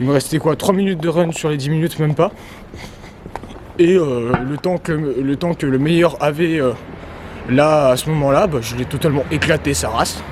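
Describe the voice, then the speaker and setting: Through noticeable background noise, a man with a fairly high voice talks at a moderate pace, taking long, frequent pauses. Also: ordinary pitch variation. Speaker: vlogger. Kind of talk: casual vlog narration. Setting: outdoors walking near a road. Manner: halting, many fillers.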